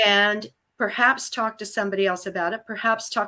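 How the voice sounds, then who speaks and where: Speaking at a fairly quick pace, a woman has a bright, sharp tone at medium pitch, on a very clean recording with a silent background. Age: 70s. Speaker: humor writer and speaker. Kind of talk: interview conversation. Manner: animated.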